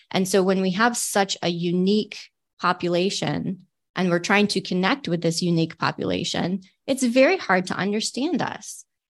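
In a plain, everyday voice, a woman with an American accent speaks at a moderate pace and a medium pitch. Her pitch variation is ordinary, and the background is quiet. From Michigan, near Detroit. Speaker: military veteran and leadership trainer. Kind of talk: interview.

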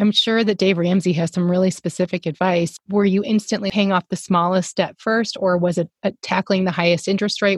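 In a very clean recording with a silent background and a dry, close sound with no echo, a woman with an American accent talks at a fairly quick pace and medium pitch, somewhat breathy, with ordinary pitch variation. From US South. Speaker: podcast co-host. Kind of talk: casual chat.

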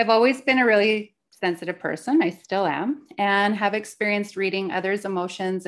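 A normal speaking voice from a woman, medium in pitch with ordinary pitch variation, at a fairly quick pace against a quiet background. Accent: Canadian. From Canada. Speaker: podcast co-host, spiritual mentor and psychic medium. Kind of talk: personal storytelling.

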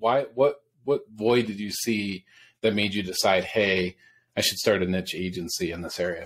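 Speaking in an upstate New York accent, a man uses lively intonation at a moderate pace. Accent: upstate New York American. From US Northeast.

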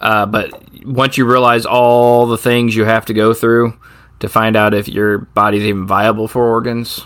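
A man speaks at medium pitch. His intonation is monotone and flat. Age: 40s. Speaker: podcast co-host. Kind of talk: casual chat.

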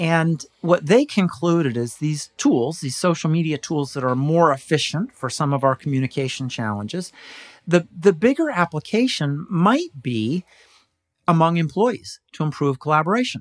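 An ordinary speaking voice with lively intonation moves at a moderate pace, the sound dry and close with no echo, in a very clean recording with a silent background. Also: man, fairly high pitch for a man. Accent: American. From California. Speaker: business consultant and professional speaker. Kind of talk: interview.

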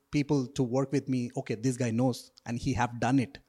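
A man's medium-pitched voice with an Indian accent, dark and mellow in tone, at a moderate pace, dry and close with no echo, in a very clean recording over a silent background. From South India. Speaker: real estate agent and investor. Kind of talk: casual interview. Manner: hesitant, filler-heavy.

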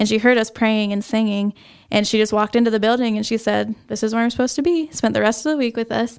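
A woman with a fairly high pitch speaks at a very fast pace in a fairly even intonation. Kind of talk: testimony. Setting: home basement studio.

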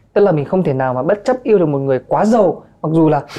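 Lively in intonation, a man with a dark, mellow tone talks at a very fast pace. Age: 20s. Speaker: MC and influencer. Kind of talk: casual chat.

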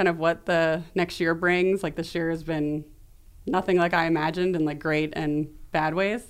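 In an American accent, a woman with a normal speaking voice talks at a fairly low pitch and a moderate pace. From New York City. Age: 40s. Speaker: public relations agency founder. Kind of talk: interview.

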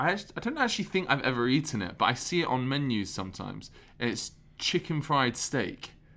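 A bright, sharp tone with a London accent on a very clean recording with a silent background. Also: man. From London, England. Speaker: podcast co-host, touring theater actor. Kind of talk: casual chat. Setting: backstage at theater during intermission.

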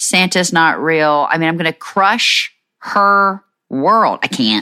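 An animated woman's voice, bright and sharp in tone, on a very clean recording with a silent background. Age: 40s. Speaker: podcast host, military spouse. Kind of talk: casual monologue.

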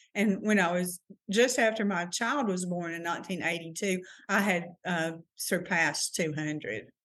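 A woman with a fairly low pitch talks at a moderate pace with ordinary pitch variation over a quiet background. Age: 60s. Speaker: teacher. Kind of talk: casual chat. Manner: halting.

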